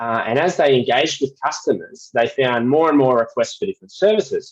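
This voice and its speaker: A man with a strong Australian accent. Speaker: well services company representative. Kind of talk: webinar presentation. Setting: video call webinar. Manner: repetitive false starts.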